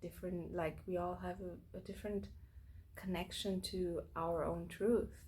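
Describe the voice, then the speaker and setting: Fairly slow delivery with audible room echo. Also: woman. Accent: non-native. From Austria, Vienna. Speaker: spiritual channel host. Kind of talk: casual monologue. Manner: halting, many fillers.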